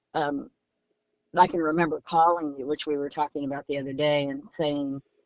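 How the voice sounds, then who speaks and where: A woman speaks at a fairly quick pace in a very deep, low pitch. Her intonation stays monotone and flat. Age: 70s. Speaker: coaching client. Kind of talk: interview testimony. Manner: halting, many fillers.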